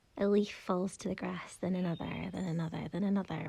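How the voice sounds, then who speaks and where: A woman speaks with a Scottish accent. Her voice is somewhat breathy. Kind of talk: poetry reading.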